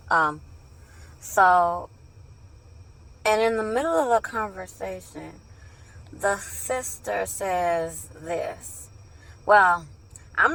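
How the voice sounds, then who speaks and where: A woman with long, frequent pauses and a very slow pace, in a very clean recording with a silent background. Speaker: ex-Jehovah's Witness video blogger. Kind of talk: casual monologue. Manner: halting, many fillers.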